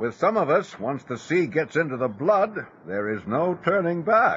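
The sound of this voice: Putting on a character voice, a man speaks at a moderate pace with a fairly high pitch, a fairly bright tone, a husky, rough edge and big pitch swings.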